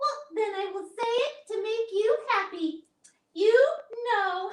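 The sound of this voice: An extremely high-pitched, female-sounding put-on character voice at a fairly slow pace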